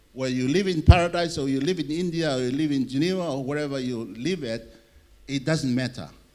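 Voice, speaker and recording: A fairly high-pitched man with ordinary pitch variation, amid audible room echo. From Tonga. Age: 60s. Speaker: conference speaker on public health. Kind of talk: conference presentation.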